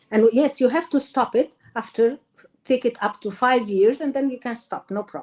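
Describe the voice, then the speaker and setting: A woman with an Arabic accent speaks at a high pitch and a moderate pace, with ordinary pitch variation. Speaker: doctor, endocrinologist. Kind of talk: interview.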